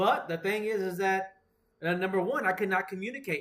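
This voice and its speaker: A man with an American accent raises and projects his high-pitched voice. His tone is animated. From United States. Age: 40s. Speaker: podcast host. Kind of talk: casual chat.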